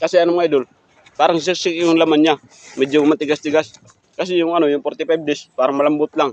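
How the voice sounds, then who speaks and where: Speaking with a strong Eastern Visayas accent, this man has a fairly high pitch and a monotone, flat intonation. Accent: Waray accent in Tagalog, strong. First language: Waray (speaking Tagalog). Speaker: food vlogger. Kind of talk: mukbang vlog chat. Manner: halting, many fillers.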